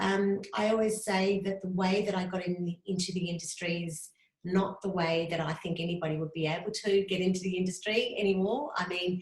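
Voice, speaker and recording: In an Australian accent, the speaker goes at a fairly quick pace with hardly any pauses and fairly even intonation. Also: woman, medium pitch for a woman. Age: 50s. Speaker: graphic designer. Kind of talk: interview. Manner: fast.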